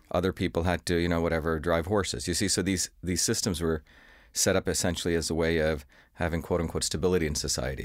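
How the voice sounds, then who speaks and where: A man with an American accent talks at a very fast pace, his very deep, low pitch touched by vocal fry. His intonation stays fairly even, and the recording is very clean with a silent background. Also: very even loudness. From India, then US from age seven. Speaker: inventor and scientist. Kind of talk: interview.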